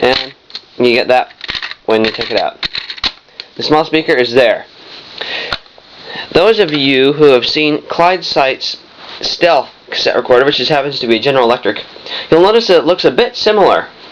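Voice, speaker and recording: Long, frequent pauses break up the speech, set against noticeable background noise. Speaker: vintage electronics hobbyist. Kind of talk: product demonstration. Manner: fast.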